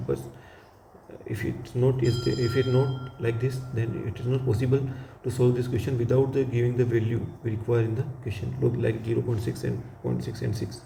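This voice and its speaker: Over audible room echo, a man talks at a fairly quick pace in a monotone, flat intonation. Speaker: physics teacher. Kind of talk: lecture. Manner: fast.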